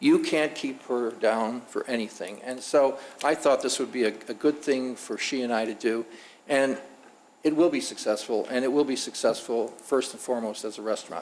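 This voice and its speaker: A man with a normal speaking voice talks at a medium pitch and moderate pace. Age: 60s. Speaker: restaurant owner. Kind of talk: public meeting testimony.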